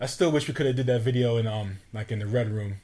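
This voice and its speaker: Somewhat breathy, the voice races along at a very fast pace with ordinary pitch variation. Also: man. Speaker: podcast host and rapper. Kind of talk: casual chat.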